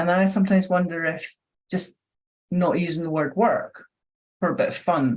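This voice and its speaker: A woman's fairly low, somewhat breathy voice with a Scottish accent. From Scotland. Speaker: neuroscience educator and trainer. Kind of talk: podcast interview. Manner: conversational.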